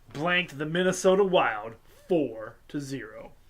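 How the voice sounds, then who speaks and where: There is audible room echo around the speaker. He is a man with a high pitch. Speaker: sports show host. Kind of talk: sports score roundup.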